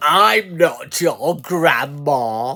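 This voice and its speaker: A put-on character voice speaks at a middle pitch. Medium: read story.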